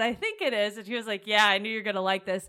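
The recording is very clean and the background silent. Her tone, a woman's, comes across bright and sharp. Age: young. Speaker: podcast co-host. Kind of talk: casual chat.

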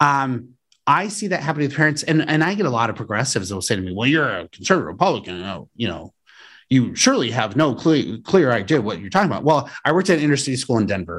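A man with an American accent and vocal fry talks at a very fast pace with very wide pitch swings, in a very clean recording with a silent background. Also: medium pitch for a man. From Colorado, US. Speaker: political candidate for state education office. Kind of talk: casual interview.

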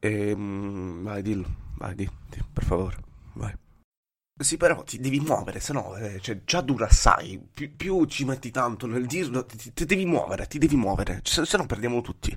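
At a moderate pace and medium pitch, a man speaks with lively intonation and big swings in loudness, leaving long, frequent pauses. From Italy, Bari (Apulia). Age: 20s. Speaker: podcast host. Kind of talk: casual interview. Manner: halting, many repetitions.

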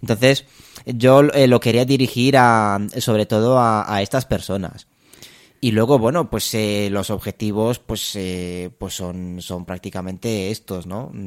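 A man's fairly low voice at a fairly slow pace, with ordinary pitch variation, big swings in loudness, and a very clean recording over a silent background. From Romania. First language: Romanian (speaking Spanish). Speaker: music student. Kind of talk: interview. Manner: halting.

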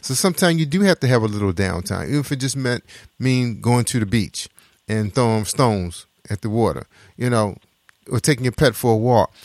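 A man speaks at a fairly quick pace in an animated tone. The recording is very clean with a silent background, and the sound is dry and close with no echo. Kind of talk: radio DJ patter, hyped-up gospel radio show hosting with call-and-response catchphrases. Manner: animated, high-energy, joking and chatty.

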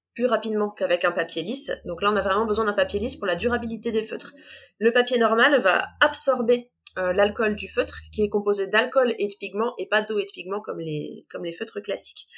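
Hers is an ordinary speaking voice, a woman at a fairly quick pace with ordinary pitch variation. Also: fairly high pitch for a woman. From northern France, Compiègne (Oise). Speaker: art supplies shop assistant and illustrator. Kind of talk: interview.

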